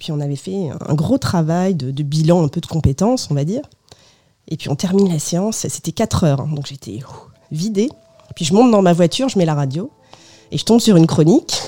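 A woman talks at a fairly quick pace with a fairly low pitch. Her intonation is lively, and her loudness swings widely. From France, of Portuguese parents. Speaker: biographer, former journalist. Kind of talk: radio interview. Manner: hesitant, many fillers.

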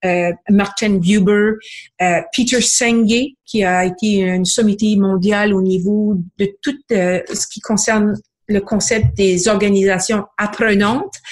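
In a very clean recording with a silent background, a woman talks very slowly. Her medium-pitched voice is somewhat breathy, with fairly even intonation. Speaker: book club founder, book reviewer. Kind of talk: book review segment.

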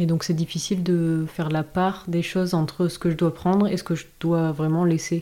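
A woman with a dark, mellow tone and fairly low pitch speaks at a moderate pace in a flat monotone, her loudness very even. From southwest France (Dax). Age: 20s. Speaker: visual artist. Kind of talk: interview. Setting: host's office. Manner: halting.

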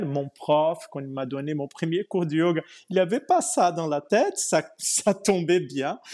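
Against a quiet background, a man with a fairly high pitch and a dark, mellow tone talks at a very slow pace with ordinary pitch variation. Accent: Portuguese. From Brazil. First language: Portuguese (speaking French). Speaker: yoga teacher. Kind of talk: interview. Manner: halting.

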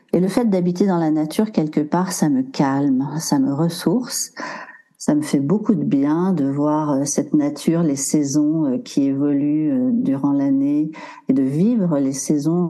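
Over noticeable background noise, a woman with a very deep, low pitch speaks at a very slow pace, with ordinary pitch variation and very even loudness. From French Alps. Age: 60s. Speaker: body movement coach, former dancer. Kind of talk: casual interview.

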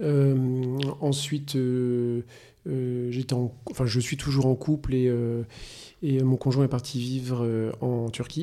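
A man with a dark, mellow tone speaks very slowly at a medium pitch in a monotone, flat intonation. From France, Poitou region. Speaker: perfume house founder. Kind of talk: interview. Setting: office. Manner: halting.

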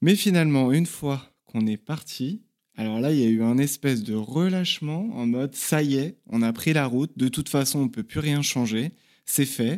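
A man's fairly high voice carries lively intonation as he talks at a moderate pace. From Paris region, France. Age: 30s. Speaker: traveller, former restaurant worker. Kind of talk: interview testimony. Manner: hesitant, many fillers.

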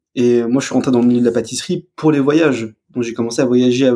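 The speaker is a man. A dark, mellow tone colors his voice. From Alsace, France. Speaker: pastry chef and drinks creator. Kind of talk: interview. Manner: halting, many repetitions.

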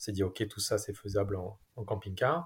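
In a very clean recording with a silent background, a man with a fairly low, somewhat breathy voice speaks at a moderate pace. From southern France. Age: 40s. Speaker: family traveller. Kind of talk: casual interview. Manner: hesitant, many fillers.

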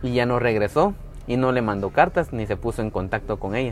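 Music plays in the background as a man with a Guatemalan accent speaks at a moderate pace and a medium pitch. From Guatemala, Antigua area. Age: 20s. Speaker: tour guide. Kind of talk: casual interview. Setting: café.

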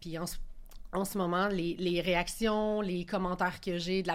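A woman keeps a medium pitch and monotone, flat intonation while talking at a moderate pace. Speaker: startup founder. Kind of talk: casual panel discussion. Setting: studio.

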